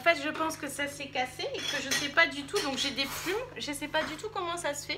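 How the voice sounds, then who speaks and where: A woman speaks in a raised, projected voice with audible room echo. Music plays in the background. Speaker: YouTuber. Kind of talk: casual chat.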